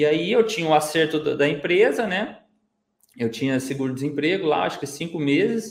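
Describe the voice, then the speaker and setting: A man's ordinary speaking voice, moderately paced, fairly high-pitched and lively in intonation. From Minas Gerais, Brazil. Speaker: digital marketer, former bus conductor. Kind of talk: casual interview chat.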